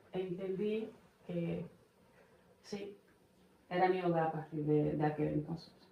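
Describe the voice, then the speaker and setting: A woman with a fairly low pitch and fairly even intonation, a very slow pace, long, frequent pauses, and audible room echo. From Brazil, Bahia. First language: Portuguese (speaking Spanish). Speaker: immigrant mother. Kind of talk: podcast interview.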